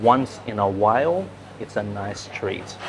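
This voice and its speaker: Very slowly and with lively intonation, a man speaks in an Australian accent over noticeable background noise. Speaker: English teacher. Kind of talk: English-learning vlog narration. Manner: slow, clear.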